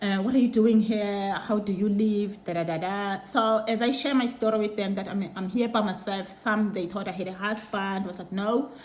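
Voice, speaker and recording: A woman speaks with a South African accent. Audible room echo and noticeable background noise fill the recording. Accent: Xhosa South African English. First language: Xhosa. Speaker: vlogger. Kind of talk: casual chat. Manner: code-switching between Xhosa and English; halting.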